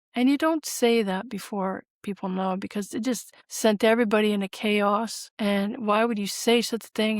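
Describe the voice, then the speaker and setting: A woman talks at a moderate pace with hardly any pauses, in a normal speaking voice with fairly high pitch. The sound is dry and close, with no echo. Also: very clean recording, silent background. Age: 60s. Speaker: spiritual author and grief counselor. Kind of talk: interview testimony. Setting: podcast interview.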